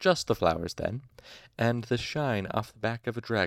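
Throughout, a natural reading voice is heard.

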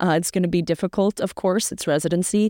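A woman with an American accent talks at a very fast pace in a fairly low pitch. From US Northeast (central Massachusetts). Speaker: medical student. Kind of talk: interview.

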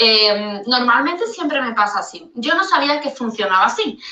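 Pitched high, a woman talks at a fairly slow pace with lively intonation. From Andalusia, Spain (Seville). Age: 30s. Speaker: caller sending a voice note. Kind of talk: recorded voice message. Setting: recorded voice note.

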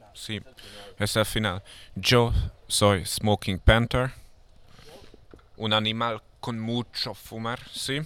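A man with a non-native accent and fairly low pitch talks at a very slow pace. His loudness swings widely, and he leaves long, frequent pauses. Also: fairly even intonation. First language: not Spanish (speaking Spanish). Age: 20s. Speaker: rapper. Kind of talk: casual chat. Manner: halting.

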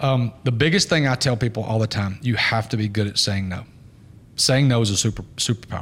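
A man speaks at a fairly quick pace and a medium pitch, his voice somewhat breathy. His pitch varies in an ordinary way. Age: 40s. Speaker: podcast host, business owner. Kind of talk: casual chat.

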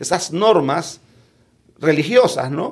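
Lively intonation marks this man's speech at a very slow pace. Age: 50s. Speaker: lawyer and politician. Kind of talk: podcast interview. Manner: halting, many repetitions.

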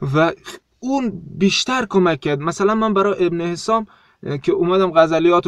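This man's voice is high-pitched and set at a moderate pace. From South Khorasan, Iran. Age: 20s. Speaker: poet and teacher. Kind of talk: casual interview. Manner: halting.

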